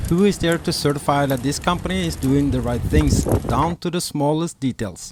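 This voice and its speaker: A man talks at a moderate pace with a Norwegian accent. His pitch varies normally, and there is noticeable background noise. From Norway. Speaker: sailing vlogger. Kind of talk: informational video narration.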